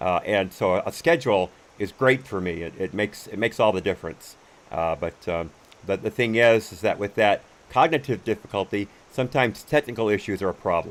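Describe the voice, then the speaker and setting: Lively intonation marks this man's fairly low voice. He speaks at a fairly quick pace. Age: 60s. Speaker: gaming streamer and commentary host. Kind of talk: casual live stream chat while gaming. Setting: live stream from home. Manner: halting, many fillers and restarts.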